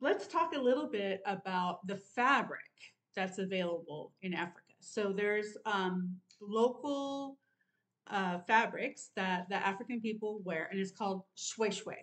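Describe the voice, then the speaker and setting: A woman reads at a fairly slow pace, her pitch moving in an ordinary way. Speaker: sewing vlogger. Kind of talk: casual vlog chat. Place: home room. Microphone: webcam.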